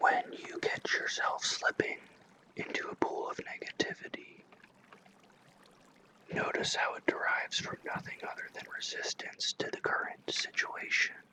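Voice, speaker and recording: Whispering at a moderate pace, with long, frequent pauses and noticeable background noise. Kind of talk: ASMR whisper reading. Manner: whispered, soft.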